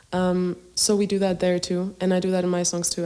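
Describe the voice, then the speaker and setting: A woman with a medium pitch and a dark, mellow tone. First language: Greek. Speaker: singer-songwriter. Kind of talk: podcast interview.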